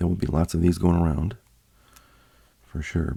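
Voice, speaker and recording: This man's pitch is very deep and low, with a dark, mellow tone. There is some breathiness in his voice. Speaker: card collecting youtuber. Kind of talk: casual unboxing video. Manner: casual, many filler words.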